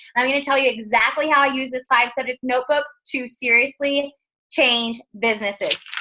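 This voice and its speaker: A raised, projected woman's voice, high in pitch, bright and sharp in tone, and animated. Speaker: network marketing seller. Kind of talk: video call interview. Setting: video call.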